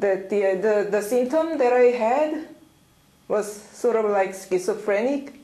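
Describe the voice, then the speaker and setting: A woman with a fairly high pitch speaks at a fairly slow pace, with long, frequent pauses, ordinary pitch variation and very even loudness. Audible room echo and noticeable background noise fill the recording. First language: Korean. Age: young. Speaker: interviewee, targeted individual. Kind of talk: interview testimony. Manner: halting.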